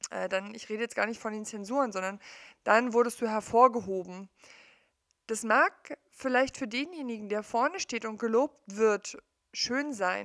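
Here is a woman with an unremarkable speaking voice, fairly high in pitch, with ordinary pitch variation and a fairly slow pace. The recording is very clean with a silent background, and the sound is dry and close with no echo. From East Germany. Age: 40s. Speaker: coach / podcaster. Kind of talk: personal monologue. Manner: conversational, with many fillers.

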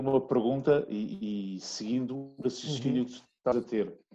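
A man talks at a moderate pace in an ordinary speaking voice, with medium pitch and ordinary pitch variation. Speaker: guest's son, former rugby coach. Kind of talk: interview.

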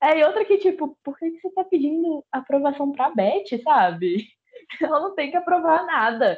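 Her pitch high and her delivery moderately paced, a woman lets her voice swing very widely up and down. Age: 20s. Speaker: history teacher. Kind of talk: casual chat. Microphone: voice cutting out.

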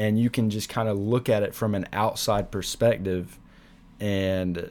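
An unremarkable speaking voice from a man, fairly low in pitch, with fairly even intonation at a fairly slow pace. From US South, South Carolina. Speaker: podcaster and university student. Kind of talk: solo podcast monologue.

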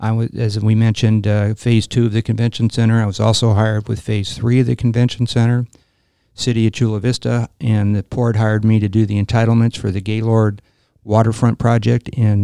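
A man with a Californian accent speaks at a fairly quick pace in a medium pitch and dark, mellow tone, his intonation flat and monotone, the sound dry and close with no echo over a quiet background. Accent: Californian American. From Los Angeles. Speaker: real estate developer and Marine veteran. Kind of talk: interview.

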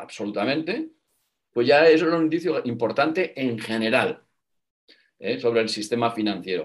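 A man's voice rises and falls over a very wide pitch range while he keeps to a moderate pace. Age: 50s. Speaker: former banker and business school professor. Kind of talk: interview.

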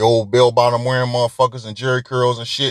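A man speaks at medium pitch and a moderate pace in an animated tone. The sound is dry and close with no echo, and the background is quiet. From Detroit, US Midwest. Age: 40s. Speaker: podcast host. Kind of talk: casual monologue.

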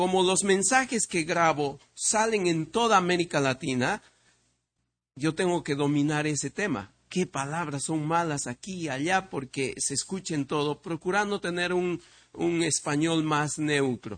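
A man talks in a plain, everyday voice at a fairly high pitch, with ordinary pitch variation. He goes at a fairly slow pace against a quiet background. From Peru. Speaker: visiting preacher. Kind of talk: sermon.

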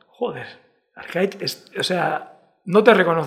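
A man's voice with very wide pitch swings. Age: 40s. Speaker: podcast host. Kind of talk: casual chat.

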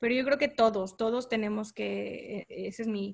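With a northern Mexican accent, a woman talks at a very slow pace in a fairly high pitch. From Tamaulipas, Mexico (Mante). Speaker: civil engineer. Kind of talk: interview.

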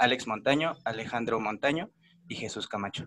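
Bright and sharp in tone, a man speaks at medium pitch with ordinary pitch variation. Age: 20s. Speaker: podcast host. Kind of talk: interview.

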